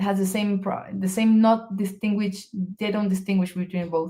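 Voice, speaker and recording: Somewhat breathy, a woman's voice runs in a monotone with flat intonation. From Venezuela. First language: Spanish. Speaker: research physicist. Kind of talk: interview conversation. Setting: live video stream. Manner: halting, with repetitions.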